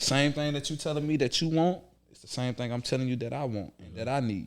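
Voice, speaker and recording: A man with a medium pitch speaks in an animated tone at a very fast pace, with ordinary pitch variation and big swings in loudness. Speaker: podcast host. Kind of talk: casual chat.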